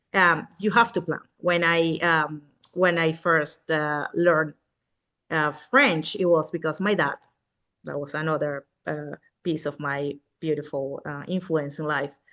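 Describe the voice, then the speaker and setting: A woman's very deep, low voice with a Spanish accent, a bright, sharp tone, fairly even intonation, and a fairly slow pace against a quiet background. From Venezuela. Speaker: real estate agent. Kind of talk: podcast interview. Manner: halting, many fillers.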